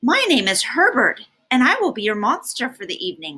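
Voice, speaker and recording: Someone performs a put-on character voice at a fairly quick pace. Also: woman, high pitch for a woman. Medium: read story. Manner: formal, mild.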